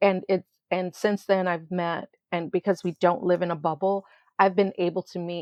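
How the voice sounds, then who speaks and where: An unremarkable speaking voice from a woman, medium in pitch, at a moderate pace with an American accent. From Florida, St. Petersburg. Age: 60s. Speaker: children's entertainer and educator. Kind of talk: interview.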